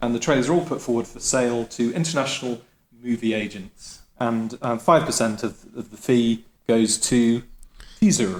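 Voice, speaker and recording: Here is a man with a normal speaking voice and a medium pitch. He talks at a moderate pace with ordinary pitch variation. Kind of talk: comedic pitch in podcast.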